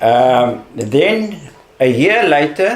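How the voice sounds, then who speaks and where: Noticeable background noise runs under the voice. The pitch swings very widely. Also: man. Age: 70s. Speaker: cancer survivor. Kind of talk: testimony. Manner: halting.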